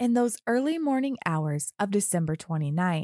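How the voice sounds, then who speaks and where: A woman's fairly high voice with a dark, mellow tone and a serious tone, very wide pitch swings, a fairly slow pace, dry, close sound with no echo, and a very clean recording against a silent background. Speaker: true crime podcast host. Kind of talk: true-crime narration, scripted and read as a story. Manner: measured, serious, somber storytelling pace; earnest and empathetic.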